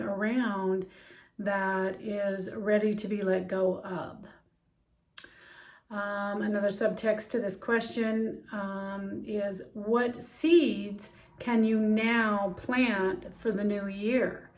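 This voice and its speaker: A woman at a very slow pace. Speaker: healing practitioner and life coach. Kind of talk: instructional talk on journaling. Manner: casual with frequent fillers.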